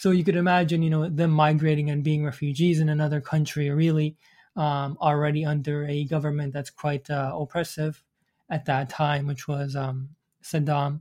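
Somewhat breathy and fairly high in pitch, a man speaks at a moderate pace in a monotone, flat way on a very clean recording with a silent background. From Iraq, Iranian parents. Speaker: designer and side-hustle entrepreneur. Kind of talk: interview. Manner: halting, many fillers.

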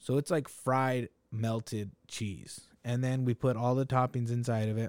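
In a plain, everyday voice, a man of medium pitch talks at a fairly slow pace with fairly even intonation and a dry, close sound with no echo. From Salinas, California (Mexican-American). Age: 30s. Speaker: food business owner. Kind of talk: casual chat.

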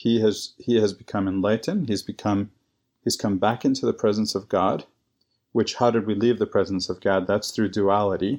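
A man's ordinary speaking voice, fairly low in pitch, at a moderate pace with fairly even intonation over a quiet background. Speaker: guest co-host. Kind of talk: casual scripture discussion.

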